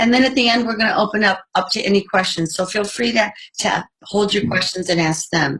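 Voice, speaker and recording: Speaking at a fairly quick pace with an American accent, a woman uses an unremarkable speaking voice at medium pitch with ordinary pitch variation. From United States. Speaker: network marketing leader. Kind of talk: business presentation.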